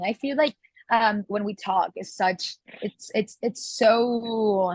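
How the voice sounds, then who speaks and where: A woman with a Catalan accent speaks at a fairly slow pace in a somewhat breathy, fairly high voice with ordinary pitch variation, recorded dry and close with no echo. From Catalonia, Spain. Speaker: singer. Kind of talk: interview. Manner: halting, many fillers.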